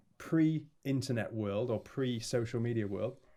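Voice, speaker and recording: A man with a Yorkshire accent and lively intonation. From northern England, Leeds. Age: 30s. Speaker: music producer and label owner. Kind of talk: casual chat.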